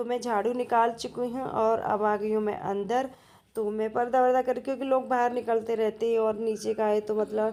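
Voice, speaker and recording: A woman's fairly high voice with a dark, mellow tone, flat monotone intonation and a moderate pace. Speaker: home vlogger. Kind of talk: casual vlog narration. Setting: at home. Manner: hesitant, many fillers.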